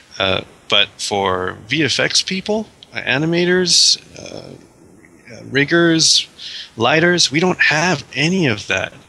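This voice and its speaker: Very slow, lively male speech at a fairly high pitch, with big swings in loudness amid noticeable background noise. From Australia. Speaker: visual effects artist, miniatures company founder. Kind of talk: interview.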